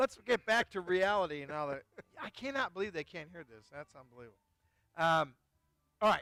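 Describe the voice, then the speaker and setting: In an American accent, a man with a high pitch and a bright, sharp, animated tone talks at a fairly quick pace, with very wide pitch swings, big swings in loudness and long, frequent pauses, in a dry, close sound with no echo. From Chicago. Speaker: wine shop host. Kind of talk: casual chat. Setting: outdoors on a patio, live stream.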